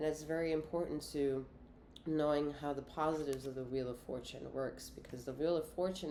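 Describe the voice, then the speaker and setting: A woman with a very deep, low pitch and a dark, mellow tone speaks with fairly even intonation amid audible room echo. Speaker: tarot reader and remote healer. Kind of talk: tarot reading monologue. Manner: halting, with frequent restarts.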